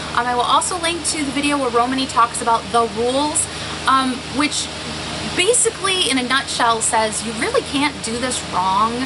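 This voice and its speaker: Someone speaks in a raised, projected voice against noticeable background noise. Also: woman. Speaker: stationery YouTuber. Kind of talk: casual vlog show-and-tell. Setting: outdoors. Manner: fast.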